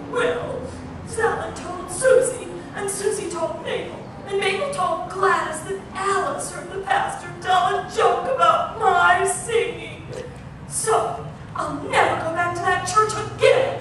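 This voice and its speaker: A woman puts on a whiny character voice, extremely high in pitch and whiny in tone, at a fairly slow pace. Strong echo and loud background noise fill the recording. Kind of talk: comic church skit. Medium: puppet show. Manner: whiny, indignant, complaining.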